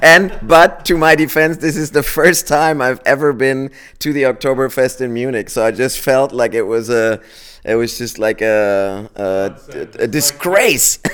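A man with a German accent, medium pitch, lively intonation and a fairly slow pace. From Germany. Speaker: auto company executive. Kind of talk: interview. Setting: company office. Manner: halting, many fillers.

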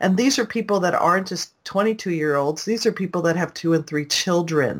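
A woman speaks in a normal speaking voice at a moderate pace and a fairly low pitch, on a very clean recording with a silent background. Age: 60s. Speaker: online business consultant and self-publisher. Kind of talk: interview.

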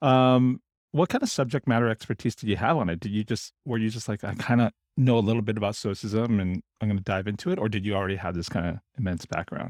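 In a very clean recording with a silent background, a man with a fairly low pitch and ordinary pitch variation talks very fast. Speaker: podcast host. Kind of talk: casual interview.

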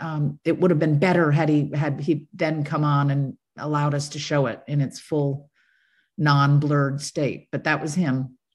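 At a fairly slow pace, a woman with a very deep, low pitch sounds somewhat breathy on a very clean recording with a silent background. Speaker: documentary filmmaker. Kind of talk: interview conversation.

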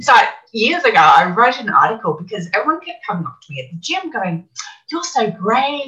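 With an Australian accent, a woman speaks at a fairly quick pace in a high pitch, her pitch swinging very widely and her loudness shifting in big swings. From Australia, Brisbane. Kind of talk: interview.

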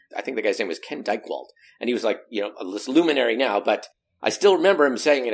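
A man speaks with a General American accent at a medium pitch. His intonation is lively. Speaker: professional speaker and meeting engagement expert. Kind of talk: interview, casual chat. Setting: video call. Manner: humorous, animated.

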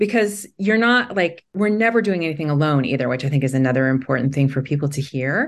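A woman talks at a very fast pace with a very deep, low pitch and very wide pitch swings. Her loudness stays very even against a quiet background. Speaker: founder and author. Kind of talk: panel discussion.

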